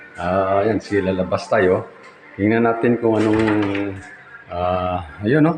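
Amid noticeable background noise, a man speaks very slowly in a fairly low pitch, with ordinary pitch variation and very even loudness. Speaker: vlogger and street food vendor. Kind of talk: casual vlog house tour. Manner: halting, frequent fillers.

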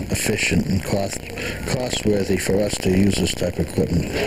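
A man speaks fairly quickly, with noticeable background noise behind him. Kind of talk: interview answer. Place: shop. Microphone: handheld.

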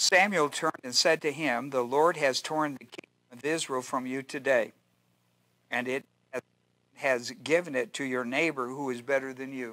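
A man with a bright, sharp tone, fairly even intonation and a moderate pace, against a quiet background. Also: dry sound with no echo. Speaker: pastor teaching a Bible study. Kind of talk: sermon. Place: church. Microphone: lapel.

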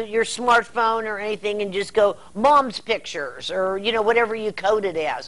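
At a moderate pace, a woman speaks with hardly any pauses and fairly even intonation. She has a plain, everyday voice with a fairly high pitch. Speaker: TV or radio show host, interviewer. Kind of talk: broadcast interview, conversational.

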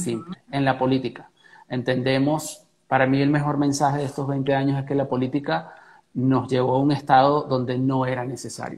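Fairly even intonation and a moderate pace come with a Venezuelan accent. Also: man, medium pitch for a man. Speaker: interview guest. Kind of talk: interview answer. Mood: earnest, reflective. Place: home room.

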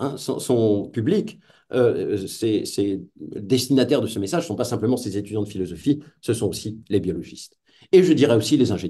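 A man talks at a moderate pace with lively intonation and a dark, mellow, somewhat breathy tone. The background is quiet. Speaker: philosopher of technology, lecturer; lecturer. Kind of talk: lecture. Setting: video call. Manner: hesitant, many fillers.

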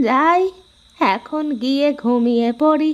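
A female-sounding, cartoonish character voice pitched high.

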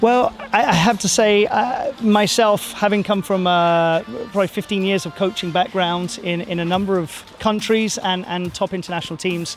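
With faint music in the background and a dry sound with no echo, a man with a high pitch talks at a moderate pace, his intonation fairly even and hardly any pauses. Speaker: swim team coach. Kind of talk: interview answer. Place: waterside. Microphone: handheld.

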